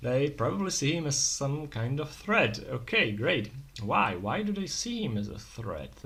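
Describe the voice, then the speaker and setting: A man with a non-native accent speaks fairly slowly in a somewhat breathy voice. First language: not English. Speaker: solo tabletop RPG player. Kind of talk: solo roleplaying game narration. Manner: hesitant, thinking aloud.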